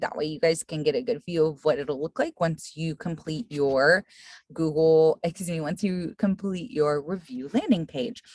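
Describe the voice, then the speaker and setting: A woman with a fairly low voice speaks with big swings in loudness, her sound dry with no echo against a quiet background. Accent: non-native. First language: not English. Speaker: real estate team trainer. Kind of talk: screen-share tutorial. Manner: casual, filler-heavy. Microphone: webcam.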